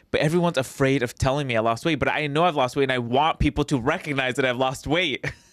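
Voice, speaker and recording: On a very clean recording with a silent background, a man of medium pitch speaks at a fairly quick pace with ordinary pitch variation. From Mexican American. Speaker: comedian. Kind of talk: casual chat. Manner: fast.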